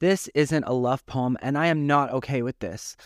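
A man with a plain, everyday voice, fairly high in pitch, ordinary pitch variation, moderate pace, very clean recording with a silent background. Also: dry, close sound with no echo. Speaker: poet reading own poem. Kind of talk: poetry reading.

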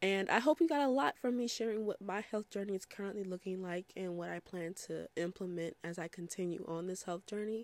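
A voice with ordinary pitch variation moves at a moderate pace over a very clean recording with a silent background. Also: woman. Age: 20s. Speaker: podcast host. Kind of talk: casual solo monologue. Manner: conversational with many fillers.

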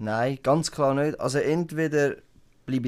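In a very clean recording with a silent background, a man with a Swiss accent talks at a moderate pace and a fairly high pitch. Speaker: podcast co-host. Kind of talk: casual chat. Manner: animated.

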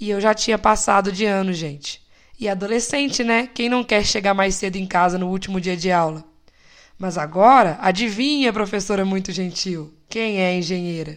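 A very clean recording on a silent background, with a moderate pace, a relaxed tone and ordinary pitch variation. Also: woman, medium pitch for a woman. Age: 20s. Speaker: podcast host, civil engineer. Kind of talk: personal reflective monologue. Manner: casual, light and relaxed.

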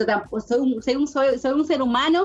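A woman speaks at a fairly quick pace. Noticeable background noise runs under her voice. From Dominican Republic. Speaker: university staff member and entrepreneur. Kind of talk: interview. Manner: halting, with repeated words.

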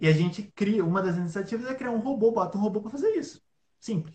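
A man's high-pitched voice with lively intonation. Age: 20s. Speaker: innovation analyst and entrepreneur. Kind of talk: casual interview on a live stream. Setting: online live stream.

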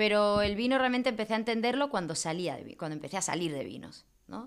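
The voice moves through very wide pitch swings in a very clean recording with a silent background. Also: woman. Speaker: wine marketer and event promoter. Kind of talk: casual chat.

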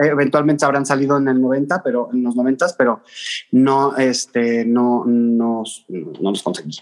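Man at medium pitch with a Mexico City accent, fairly slow, with ordinary pitch variation. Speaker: content creator. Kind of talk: casual interview chat.

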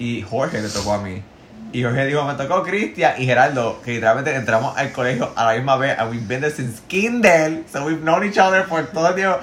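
A man speaks at a very fast pace. His pitch is fairly high, and there is noticeable background noise. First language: Spanish. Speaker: podcast co-host. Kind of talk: casual chat.

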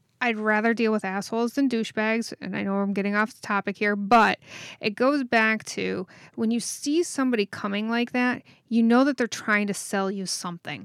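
A woman with an ordinary speaking voice talks at a fairly high pitch and a moderate pace with fairly even intonation, in a dry, close sound with no echo on a very clean recording with a silent background. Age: 40s. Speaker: podcast co-host, web designer. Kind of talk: casual chat.

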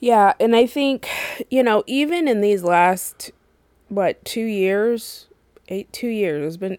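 Speaking at a fairly slow pace, a woman has an unremarkable speaking voice at a medium pitch with lively intonation and a dry, close sound with no echo. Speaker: podcast host. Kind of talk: casual chat.

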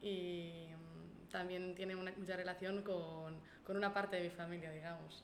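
A woman with a Basque accent speaks at medium pitch and a moderate pace, in a monotone, flat intonation. Room echo is audible, along with noticeable background noise. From Basque Country, Gipuzkoa (Spain). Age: 20s. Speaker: university student intern. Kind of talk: casual chat. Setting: in person, coworking space.

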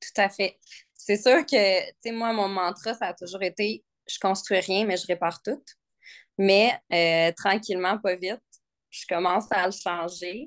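Speaking very slowly, a woman uses ordinary pitch variation. The sound is dry and close with no echo, over a quiet background. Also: medium pitch for a woman. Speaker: nurse and furniture restorer. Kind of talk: casual interview chat. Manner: hesitant, many fillers.

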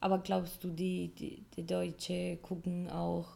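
In a Spanish accent, a woman speaks at a very slow pace. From Colombia. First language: Spanish (speaking German). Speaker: podcast co-host. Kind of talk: casual chat. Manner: halting, searching for words.

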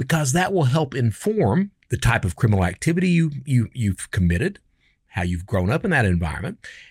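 In a very clean recording with a silent background and a dry, close sound with no echo, a somewhat breathy man speaks fairly quickly at medium pitch with very wide pitch swings. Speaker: podcast host and former cybercriminal. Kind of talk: casual monologue. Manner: animated.

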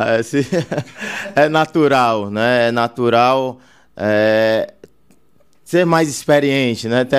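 Speaking at a very slow pace, a man with a medium pitch keeps his loudness very even. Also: ordinary pitch variation. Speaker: city councillor-elect and businessman. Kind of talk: casual interview. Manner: halting, with many fillers.

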